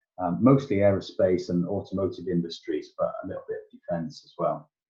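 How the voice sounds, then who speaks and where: Fairly low in pitch and somewhat breathy, a man with a Yorkshire accent speaks in a dark, mellow tone with ordinary pitch variation. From Yorkshire, northern England. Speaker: tech entrepreneur and engineer. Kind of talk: podcast interview. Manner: hesitant, many fillers.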